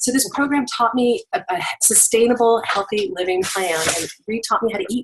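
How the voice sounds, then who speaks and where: The tone of this woman's voice is animated. Her pitch sits fairly high. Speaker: direct-sales product presenter. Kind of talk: sales pitch. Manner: fast.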